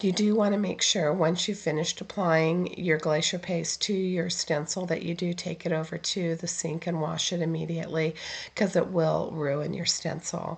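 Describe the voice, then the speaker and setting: Somewhat breathy and fairly low in pitch, a woman talks at a moderate pace in a monotone, flat intonation with hardly any pauses. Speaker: card-making crafter. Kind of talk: tutorial voiceover. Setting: recorded voiceover.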